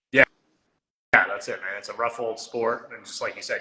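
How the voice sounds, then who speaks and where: This man speaks with a Maritime Canadian accent. That is what comes through in the clip. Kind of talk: casual interview host talk.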